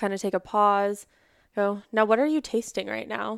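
In a very clean recording with a silent background and a dry, close sound with no echo, a woman speaks at a medium pitch with fairly even intonation. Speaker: therapist, former crisis intervention specialist. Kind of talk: casual interview conversation. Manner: fast talker.

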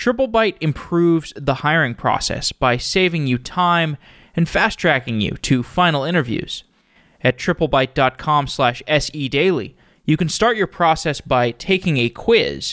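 A plain, everyday voice from a man at a fairly high pitch, fairly slow pace with lively intonation and very even loudness, dry, close sound with no echo, very clean recording, silent background. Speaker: podcast host. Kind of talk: interview.

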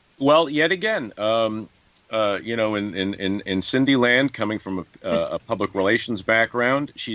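A man in a New York accent speaks with lively intonation. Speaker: actor. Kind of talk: interview. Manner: halting.

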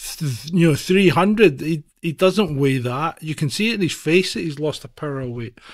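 A man with a Scottish accent speaks at a moderate pace, his pitch fairly high. His intonation is lively. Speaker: podcast co-host. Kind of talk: casual chat. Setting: video call.

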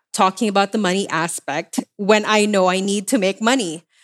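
An ordinary speaking voice at a moderate pace, with a dry, close sound and no echo. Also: woman, very clean recording, silent background. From developing country, immigrated to Canada. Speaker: money coach and entrepreneur. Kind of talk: casual interview.

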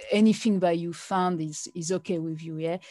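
With a French accent, a woman speaks in a dark, mellow tone at a fairly low pitch with fairly even intonation. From France. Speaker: blogger. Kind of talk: interview. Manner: halting.

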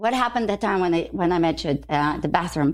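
On a very clean recording with a silent background, a woman talks at a very fast pace with vocal fry and a fairly low pitch. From Ukraine. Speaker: fashion stylist. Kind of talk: casual interview chat. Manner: animated.

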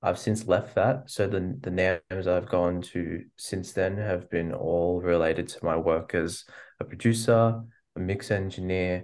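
A man with an Australian accent, very deep low pitch, ordinary pitch variation and a fairly slow pace against a quiet background. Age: 20s. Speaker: musician. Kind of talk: interview. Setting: video call.

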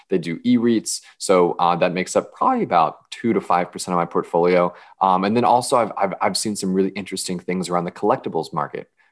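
A man talks very fast in a very deep, low pitch with fairly even intonation. The background is quiet. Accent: American. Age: 20s. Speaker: personal finance influencer. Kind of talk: podcast interview.

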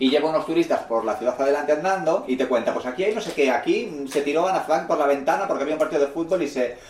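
With hardly any pauses, a man speaks at a very fast pace and a fairly high pitch, with ordinary pitch variation and noticeable background noise. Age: 30s. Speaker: podcast host. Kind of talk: casual chat.

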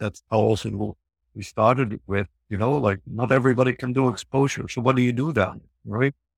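In a dry, close sound with no echo, a man talks at a moderate pace, with a medium pitch and fairly even intonation. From northern Netherlands. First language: Dutch. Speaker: psychologist and researcher. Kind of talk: casual interview.

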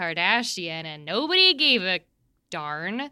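A woman with a bright, sharp tone and medium pitch is heard on a very clean recording with a silent background. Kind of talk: casual comedic chat.

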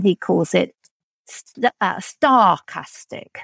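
A woman talks with vocal fry. The sound is dry and close, with no echo. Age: old. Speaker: novelist. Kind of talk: interview. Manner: halting.

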